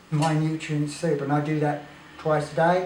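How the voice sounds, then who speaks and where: Noticeable background noise and audible room echo surround a man speaking at a moderate pace. He has a fairly high pitch and an Australian accent. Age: 60s. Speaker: raw food advocate. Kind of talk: casual chat.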